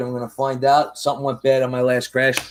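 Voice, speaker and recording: This man speaks at a fairly high pitch. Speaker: FPV drone builder streamer. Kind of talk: live-stream build tutorial. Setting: live stream at workbench. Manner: casual, chatty with fillers.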